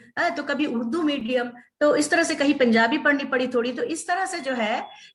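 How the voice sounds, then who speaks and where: Delivered at a moderate pace, the speech has lively intonation and audible room echo. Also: woman. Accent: Bengali. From India, Bengal (moved around army postings). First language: Bengali (speaking Hindi). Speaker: university vice-chancellor and author. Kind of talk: interview. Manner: hesitant, many filler sounds.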